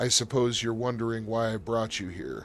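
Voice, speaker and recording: A man puts on a wheezy character voice of medium pitch, with fairly even intonation at a moderate pace. Clear background noise runs behind him. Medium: actual play. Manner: humble, formal, measured.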